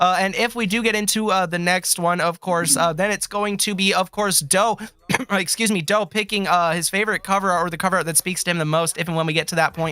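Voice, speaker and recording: A man projects a raised, high voice with a bright, sharp tone and fairly even intonation. He talks at a fairly quick pace with hardly any pauses. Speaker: music artist and stream host. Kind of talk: livestream music feedback chat.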